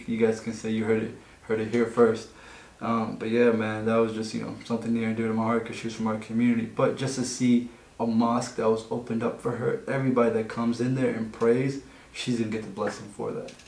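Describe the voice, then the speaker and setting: Audible room echo surrounds a monotone, flat voice going at a very fast pace. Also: man. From Egypt (Nubian family, southern Egypt). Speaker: podcast co-host. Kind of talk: casual chat. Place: meeting room.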